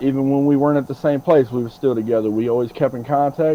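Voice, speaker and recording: Very fast male speech with an American accent, medium pitch, a dark, mellow tone and ordinary pitch variation. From Michigan, Flint. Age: 40s. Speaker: former prisoner. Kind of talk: interview.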